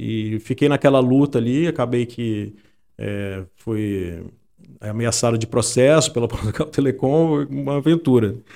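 An ordinary speaking voice from a man, medium in pitch with ordinary pitch variation, on a very clean recording with a silent background. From Brazil, Espírito Santo (Santa Teresa). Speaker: journalist and data analyst. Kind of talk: interview conversation. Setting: studio, in person.

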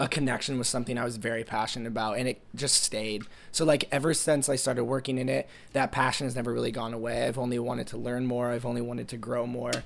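A man talks at a very fast pace with fairly even intonation over noticeable background noise. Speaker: college student, music manager. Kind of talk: interview. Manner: casual, many fillers.

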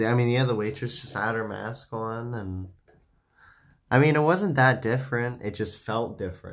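A man with an American accent uses an ordinary speaking voice at a medium pitch and a moderate pace. His pitch varies in an ordinary way, and the recording is very clean with a silent background. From United States. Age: 20s. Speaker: podcast host. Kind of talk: casual chat. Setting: home studio.

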